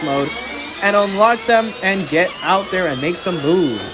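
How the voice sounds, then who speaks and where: A man speaks at a moderate pace with a high pitch and lively intonation. Music plays in the background. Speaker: race commentator. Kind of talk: live sports race commentary.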